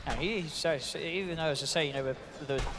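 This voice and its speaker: A man talks at a fairly quick pace in an animated tone, with noticeable background noise behind him. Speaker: esports commentator. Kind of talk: live esports commentary. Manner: animated, fast-paced play-by-play.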